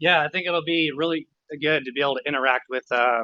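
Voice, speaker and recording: Speaking at a very fast pace with ordinary pitch variation, a man has a slight Texas accent. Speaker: GIS analyst. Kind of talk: casual chat.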